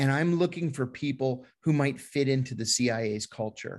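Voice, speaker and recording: The recording is very clean, with a silent background. A man speaks at a medium pitch and moderate pace, with ordinary pitch variation. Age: 50s. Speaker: former intelligence officer and whistleblower. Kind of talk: interview.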